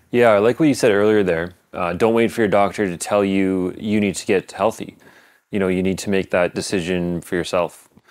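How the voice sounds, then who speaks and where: Man with a normal speaking voice, fairly low pitch, fairly even intonation and a moderate pace. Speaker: podcast host. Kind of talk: solo monologue with interview clips.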